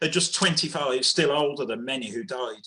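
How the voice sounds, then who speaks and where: A man with a Birmingham accent speaks at a moderate pace and a medium pitch. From Birmingham, England. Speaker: poet. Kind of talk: spoken word poetry performance.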